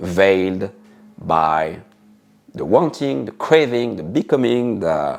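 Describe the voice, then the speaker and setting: Against music in the background, a man with a very deep, low pitch talks at a fairly slow pace with lively intonation. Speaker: spiritual teacher. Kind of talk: spiritual talk. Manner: halting, with frequent fillers and repetitions.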